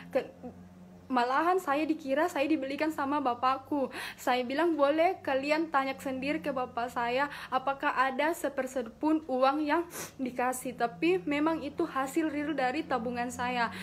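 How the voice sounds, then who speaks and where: Light background noise sits behind a woman speaking in a high pitch. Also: fairly even intonation, moderate pace. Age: 20s. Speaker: direct-selling business leader; direct-sales business member sharing her story. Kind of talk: motivational talk. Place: office. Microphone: phone near.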